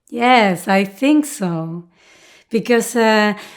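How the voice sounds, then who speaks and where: Recorded very cleanly over a silent background, a woman with a Spanish accent speaks with ordinary pitch variation. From Argentina, Buenos Aires. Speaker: dancer. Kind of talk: interview. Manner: halting.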